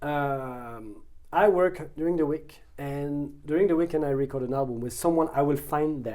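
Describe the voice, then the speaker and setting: A man speaks with a French accent in a fairly high voice, his pitch varying in an ordinary way. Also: moderate pace. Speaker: photographer, musician and actor. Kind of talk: interview. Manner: halting, many fillers.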